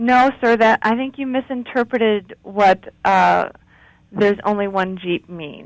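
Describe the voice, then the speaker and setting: A woman with an ordinary speaking voice at a fairly slow pace, medium pitch, and ordinary pitch variation, in a dry, close sound with no echo. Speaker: customer service representative. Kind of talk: phone customer service call.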